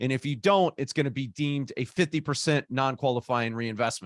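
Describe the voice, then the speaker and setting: At a very fast pace, a man talks with a fairly high pitch and ordinary pitch variation, the sound dry and close with no echo. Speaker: opportunity zone tax expert. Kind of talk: live Q&A session. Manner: animated.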